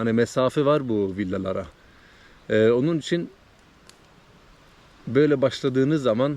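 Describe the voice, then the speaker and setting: Here a man speaks at a moderate pace with a medium pitch and ordinary pitch variation. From Sweden, Trollhättan (Turkish parents). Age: 30s. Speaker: vlogger. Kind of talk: casual vlog monologue. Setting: outdoors by a lake in a forest. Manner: casual, hesitant with many fillers.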